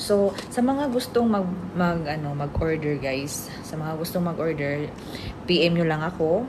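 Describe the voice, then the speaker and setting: A woman's fairly low voice in a Bisaya accent, animated in tone with lively intonation and a fairly slow pace, amid audible room echo and noticeable background noise. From Philippines, Visayas. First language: Bisaya (speaking Tagalog). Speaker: vlogger and product seller. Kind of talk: product demo and sales pitch. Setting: at employer's home, boss present. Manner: animated, laughing often.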